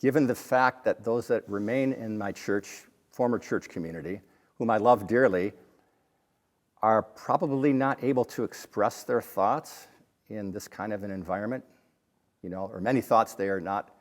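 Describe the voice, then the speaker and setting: A man talks at a moderate pace with fairly low pitch and ordinary pitch variation, leaving long, frequent pauses. The recording is very clean, with a silent background. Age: 50s. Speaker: former church member sharing faith journey. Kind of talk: interview conversation.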